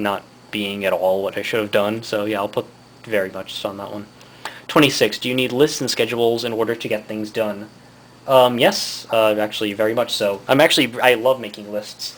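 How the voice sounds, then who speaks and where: A man talks at a medium pitch with fairly even intonation. Noticeable background noise runs under his voice. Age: 20s. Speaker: vlogger. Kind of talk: casual monologue reading test questions. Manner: fast; halting.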